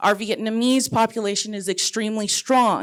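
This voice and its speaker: Fairly high female voice at a moderate pace, very clean recording with a silent background. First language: Spanish. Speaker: community environmental activist. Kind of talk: panel discussion. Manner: impassioned.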